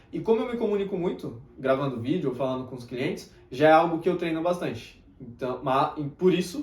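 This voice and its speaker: A man's fairly high pitch with ordinary pitch variation at a moderate pace. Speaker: self-improvement youtuber and mentor. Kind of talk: motivational talk to camera. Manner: tends to speak softly.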